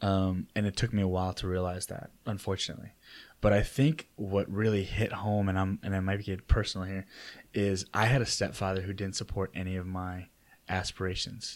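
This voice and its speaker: On a very clean recording with a silent background, a man speaks at a fairly quick pace in a monotone, flat intonation. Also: fairly low pitch for a man. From Chicago area, Illinois (Oak Park). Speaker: real estate broker. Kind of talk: casual interview. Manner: hesitant, many fillers.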